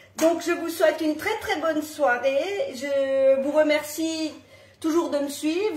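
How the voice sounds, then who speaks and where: A woman talks very slowly in a room with audible echo, and noticeable noise fills the background. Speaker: home cooking presenter. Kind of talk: live cooking tutorial. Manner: casual, with fillers.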